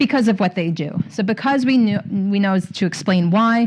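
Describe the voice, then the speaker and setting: A woman speaks at a medium pitch with lively intonation. Her voice is somewhat breathy. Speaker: literacy trainer. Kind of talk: conference presentation. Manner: fast.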